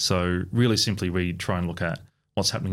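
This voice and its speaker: A man with an Australian accent talks at a very fast pace. His pitch is very deep and low, on a very clean recording with a silent background. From country Victoria, Australia. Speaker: strata report business owner. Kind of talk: podcast interview.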